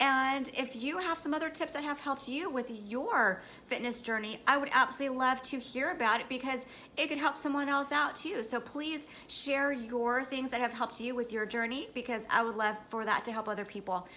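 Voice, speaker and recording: At a fairly quick pace, a woman's raised, projected, high voice has a bright, sharp tone and ordinary pitch variation. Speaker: fitness vlogger and trainer. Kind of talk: casual vlog tips.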